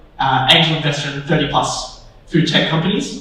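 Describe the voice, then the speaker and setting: Audible room echo and noticeable background noise around fairly even intonation. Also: man. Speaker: panel moderator. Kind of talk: panel discussion moderation. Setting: stage with audience.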